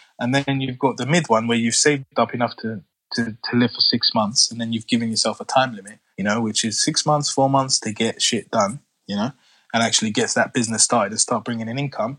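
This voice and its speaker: A man with a London accent speaks at a very fast pace and medium pitch. His intonation is fairly even, and the sound is dry and close with no echo. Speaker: construction business owner. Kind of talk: casual chat.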